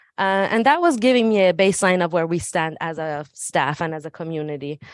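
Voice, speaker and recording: A woman's fairly low voice rises and falls in lively intonation. She talks at a fairly quick pace over a quiet background. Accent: slight Persian. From Iran. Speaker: school administrator. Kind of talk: presentation at a public meeting. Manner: hesitant, many fillers.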